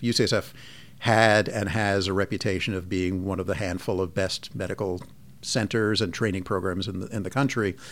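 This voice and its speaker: A man's plain, everyday voice, fairly low in pitch, with fairly even intonation at a moderate pace, on a very clean recording with a silent background. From US Northeast, Long Island, New York. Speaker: physician and medical department chair. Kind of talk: interview.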